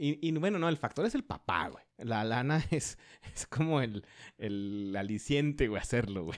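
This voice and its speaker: A man speaks at a fairly slow pace in a normal speaking voice, with medium pitch and lively intonation. The recording is very clean, with a silent background. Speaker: podcast co-host, economist. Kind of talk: casual chat.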